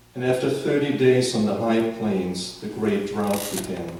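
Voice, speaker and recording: A man talks at a very slow pace in a German accent. Audible room echo surrounds his voice. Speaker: author. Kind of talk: reading aloud.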